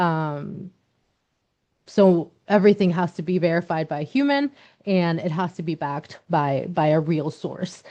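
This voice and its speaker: In a Spanish accent, the speaker uses a dark, mellow tone and ordinary pitch variation at a fairly slow pace against a quiet background. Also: woman, fairly low pitch for a woman. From Mexico. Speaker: nonprofit leader. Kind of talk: workshop presentation. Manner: frequent repetitions and fillers.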